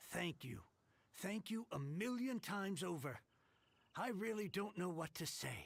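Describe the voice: A woman does a put-on character voice with vocal fry, a fairly low pitch and lively intonation. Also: fairly slow pace.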